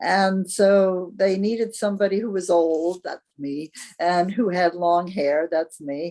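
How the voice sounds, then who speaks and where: This woman's dark, mellow tone sits at a medium pitch as she speaks fairly slowly with fairly even intonation. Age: 80s+. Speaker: playwright and actor. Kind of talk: radio interview.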